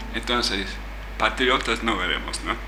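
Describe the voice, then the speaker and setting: A man talks in an English accent. Noticeable background noise and audible room echo are present. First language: English (speaking Spanish). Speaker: writer and translator. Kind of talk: casual chat. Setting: studio. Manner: halting.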